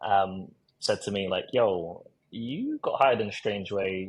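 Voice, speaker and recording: A man's somewhat breathy voice with ordinary pitch variation, against a quiet background. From South London, England. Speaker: recruiter and marketer. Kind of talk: podcast interview storytelling. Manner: casual, with many fillers and repetitions.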